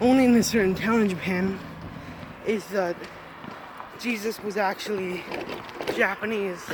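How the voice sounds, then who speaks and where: A man with a high voice talks at a moderate pace with ordinary pitch variation. Long, frequent pauses break up his speech, and background noise is noticeable. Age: young. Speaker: son. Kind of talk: casual chat.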